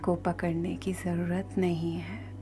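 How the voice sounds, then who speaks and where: The speaker is soft-spoken. Music plays in the background. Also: woman. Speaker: meditation guide. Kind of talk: guided meditation. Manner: slow.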